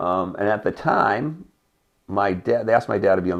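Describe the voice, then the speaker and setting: Lively intonation runs through this voice with an American accent. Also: man. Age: 60s. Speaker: business executive. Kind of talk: interview.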